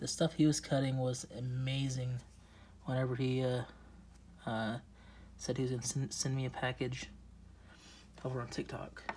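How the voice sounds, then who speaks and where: Somewhat breathy, a man of medium pitch keeps a monotone, flat intonation at a moderate pace, with long, frequent pauses. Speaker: rock collector video creator. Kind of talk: casual unboxing chat. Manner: hesitant, filler words; soft-spoken.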